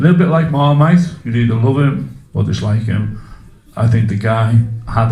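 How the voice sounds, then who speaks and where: The man's pitch sits in the medium range and varies in an ordinary way. He keeps a moderate pace, and there is audible room echo. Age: 60s. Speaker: public speaker at a community meeting. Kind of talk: public talk to a live audience. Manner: interactive, asks audience questions.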